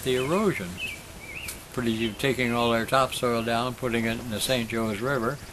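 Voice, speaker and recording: At a moderate pace, a man talks at medium pitch with fairly even intonation over noticeable background noise. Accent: American. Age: 80s+. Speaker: farmer. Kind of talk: interview answer.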